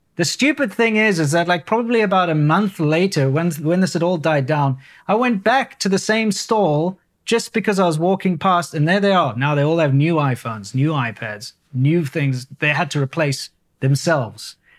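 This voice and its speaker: A high-pitched man with lively intonation and very even loudness on a very clean recording with a silent background. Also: moderate pace. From South Africa. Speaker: YouTuber. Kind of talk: casual chat.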